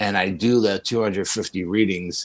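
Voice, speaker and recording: An unremarkable speaking voice from a man, fairly low-pitched, fairly even in intonation, at a moderate pace, on a very clean recording with a silent background. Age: 60s. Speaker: paranormal investigator. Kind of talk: interview.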